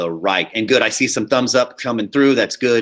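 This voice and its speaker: A loud male voice with a bright, sharp tone. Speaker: high school theater teacher. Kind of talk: lecture. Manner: casual.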